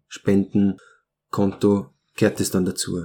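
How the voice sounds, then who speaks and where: A man's very slow speech in a fairly low voice with a dark, mellow tone. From born in Romania, grew up in Austria. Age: 30s. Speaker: glassblower. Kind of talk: interview. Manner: halting, many fillers.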